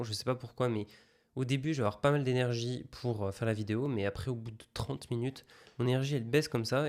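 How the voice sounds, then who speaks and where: A man talks at a medium pitch and a fairly quick pace, with fairly even intonation. The recording is very clean, with a silent background. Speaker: online business content creator. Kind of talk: casual vlog. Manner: hesitant, many filler sounds.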